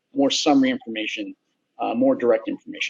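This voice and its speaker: A man at a very fast pace, with very wide pitch swings. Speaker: software company executive presenting. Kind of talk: conference presentation with live demo.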